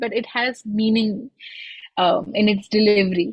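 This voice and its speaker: The speaker is a woman. Her pace is moderate. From India, Lucknow. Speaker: singer-songwriter. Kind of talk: interview conversation.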